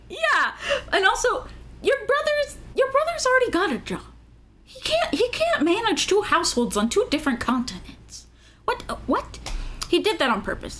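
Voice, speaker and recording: Her pitch extremely high, a woman speaks at a moderate pace with very wide pitch swings. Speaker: podcast co-host. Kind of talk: casual chat; reading a plot summary aloud. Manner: loud, projecting.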